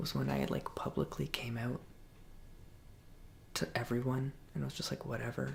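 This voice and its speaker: Over noticeable background noise, a soft-spoken voice talks in a relaxed tone. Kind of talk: ASMR Q and A, soft spoken talk to camera. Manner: soft-spoken, relaxed.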